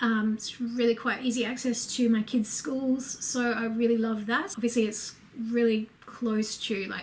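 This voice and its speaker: Over noticeable background noise, a woman with a fairly high pitch speaks at a moderate pace in a flat, monotone delivery. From Australia, Brisbane, Queensland. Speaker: lifestyle vlogger. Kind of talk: casual Q&A vlog. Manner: casual, lots of fillers.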